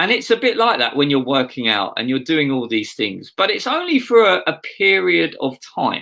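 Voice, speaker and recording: Using an Essex accent, a man talks at a moderate pace and fairly high pitch with very wide pitch swings and hardly any pauses. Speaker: pastor. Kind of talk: sermon.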